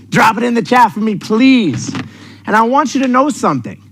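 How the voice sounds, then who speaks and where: A man with a New York accent speaks at an extremely high pitch. His tone is energetic and animated. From New York City. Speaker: sales coach. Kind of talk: motivational seminar talk. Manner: energetic, animated; direct, intense.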